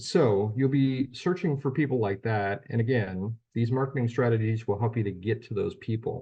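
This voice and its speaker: A man talks at a moderate pace with lively intonation and a somewhat breathy sound. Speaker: Medicare insurance trainer. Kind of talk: training webinar. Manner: casual, with filler words.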